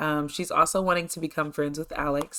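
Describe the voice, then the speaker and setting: In a very clean recording with a silent background, a woman talks at a moderate pace in a very deep, low pitch with ordinary pitch variation. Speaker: gaming YouTuber. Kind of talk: gameplay commentary. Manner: many filler 'um's; casual, chatty.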